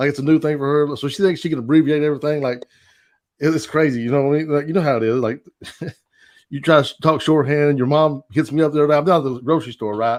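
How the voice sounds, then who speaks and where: In a Kentucky accent, a man speaks at a very fast pace with fairly even intonation. His pitch is fairly high, and the background is quiet. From eastern Kentucky, rural. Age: 40s. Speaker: stand-up comedian. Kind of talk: stand-up.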